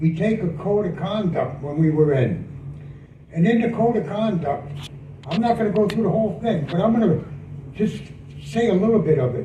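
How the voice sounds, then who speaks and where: Amid noticeable background noise and audible room echo, a man with a high pitch talks at a moderate pace with lively intonation. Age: 70s. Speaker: war veteran. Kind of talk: speech.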